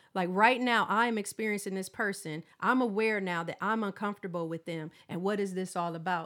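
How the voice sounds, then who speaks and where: Over a very clean recording with a silent background, a woman speaks in an animated tone at a medium pitch, with ordinary pitch variation, a fairly quick pace and hardly any pauses. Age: 40s. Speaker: counseling professor. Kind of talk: casual chat.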